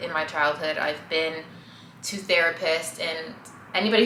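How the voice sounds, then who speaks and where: A woman with a fairly low pitch and ordinary pitch variation is heard amid audible room echo and noticeable background noise. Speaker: vlogger. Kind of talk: casual vlog monologue. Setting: at home. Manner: halting, stammering.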